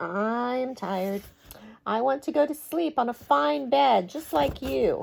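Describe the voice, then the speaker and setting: Using a put-on character voice, a woman speaks high for a woman. Her pace is fairly slow. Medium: read story.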